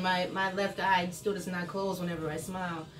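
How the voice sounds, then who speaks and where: A woman at a medium pitch, with audible room echo and noticeable background noise. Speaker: vlogger sharing her illness journey. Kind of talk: casual vlog chat. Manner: slightly slurred speech.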